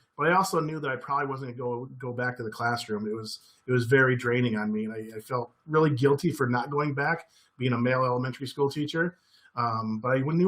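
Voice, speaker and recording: Talking at a fairly quick pace, this man has a medium pitch, ordinary pitch variation and an American accent. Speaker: former teacher, education trainer. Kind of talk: webinar presentation. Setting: online webinar. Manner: fast; animated.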